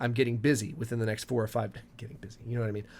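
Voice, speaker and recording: This man speaks at a medium pitch with a somewhat breathy quality. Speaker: gaming YouTuber. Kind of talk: casual talk to camera.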